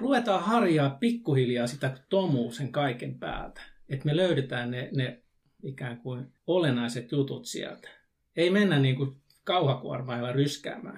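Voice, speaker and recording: A man with a fairly high, somewhat breathy voice speaks at a fairly slow pace with lively intonation. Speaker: youth worker. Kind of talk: casual discussion.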